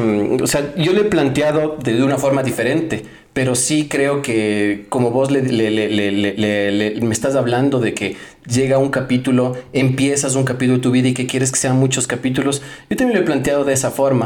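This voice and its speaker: A man's medium-pitched voice at a moderate pace, with ordinary pitch variation and very even loudness, plus audible room echo and noticeable background noise. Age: 30s. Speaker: podcast host. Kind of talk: casual chat. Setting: guest's home. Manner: halting.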